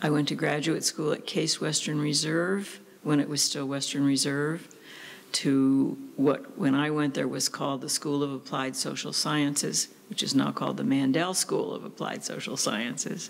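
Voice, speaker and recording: A woman speaks with a very deep, low pitch. Her intonation is fairly even and her pace moderate. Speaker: interviewee. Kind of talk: interview answer. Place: office. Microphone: studio mic.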